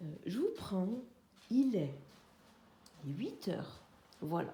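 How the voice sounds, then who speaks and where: A somewhat breathy woman's voice at medium pitch, dark and mellow in tone, with very wide pitch swings, a very slow pace and audible room echo. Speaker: craft vlogger. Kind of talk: casual vlog chat. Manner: hesitant, many fillers.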